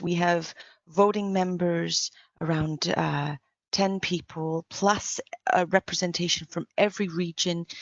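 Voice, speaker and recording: A woman with a fairly low pitch talks at a fairly slow pace in a monotone, flat intonation. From Canada. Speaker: engineer and conference speaker. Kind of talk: conference presentation.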